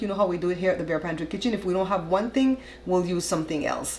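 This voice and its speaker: Noticeable background noise sits behind a woman speaking. Her pitch is medium and varies in an ordinary way. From Belize. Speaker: cooking show host. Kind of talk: cooking tutorial, casual talk to camera. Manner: chatty, friendly, conversational.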